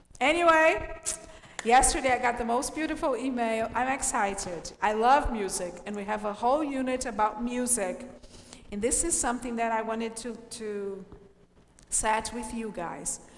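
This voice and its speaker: Amid noticeable background noise and audible room echo, a woman speaks in an animated tone at a moderate pace, her pitch fairly high with ordinary variation. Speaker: English teacher. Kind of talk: online class. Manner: loud.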